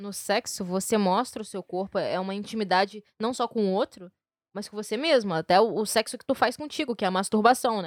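With an ordinary speaking voice, a woman talks at a fairly quick pace and medium pitch, showing big swings in loudness and ordinary pitch variation in a dry, close sound with no echo. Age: 20s. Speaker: podcast host. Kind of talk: casual chat.

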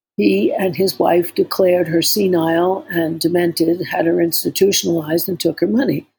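A woman speaks with vocal fry in a fairly low pitch, her tone dark and mellow and her pitch varying in an ordinary way. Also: moderate pace, hardly any pauses. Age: 70s. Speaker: therapist and podcast co-host. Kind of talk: casual chat.

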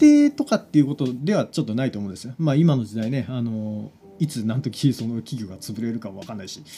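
A man's very fast, medium-pitched voice, somewhat breathy and dark and mellow in tone, with lively intonation and big swings in loudness. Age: 30s. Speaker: podcast host and web director. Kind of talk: solo monologue. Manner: hesitant, many fillers.

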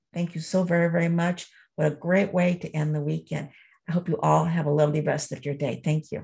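A woman with a very deep, low pitch and a somewhat breathy voice talks at a fairly quick pace in a monotone, flat intonation. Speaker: meeting attendee. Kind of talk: casual chat. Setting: video call.

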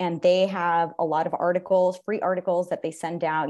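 With a Californian accent, a woman talks at a moderate pace. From San Jose, California. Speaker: photographer and university program director. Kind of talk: interview conversation.

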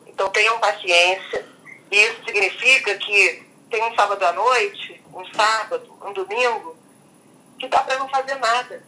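A woman speaks at a fairly slow pace in a fairly high voice, her loudness swinging widely while her pitch varies in an ordinary way, with noticeable background noise. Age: 50s. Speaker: journalist. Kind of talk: interview.

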